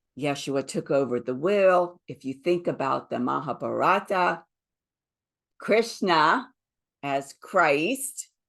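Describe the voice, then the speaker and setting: Against a quiet background, a woman with a Southern US accent talks at a very slow pace in a very deep, low voice with lively intonation. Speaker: spiritual teacher. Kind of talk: spiritual talk.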